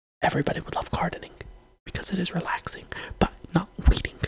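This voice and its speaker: Very fast whispering. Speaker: video creator. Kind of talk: rant.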